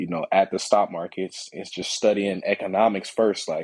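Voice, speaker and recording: A man with an American accent is heard dry and close, with no echo, against a quiet background. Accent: lacks a Long Island. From New York and Atlanta, Georgia. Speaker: stock market educator. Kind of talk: casual interview.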